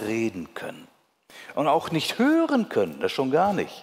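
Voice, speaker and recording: This man's pitch sits fairly high. His tone is warm. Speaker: preacher. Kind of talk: sermon. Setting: church. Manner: earnest, pastoral and warm. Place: church. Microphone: headset.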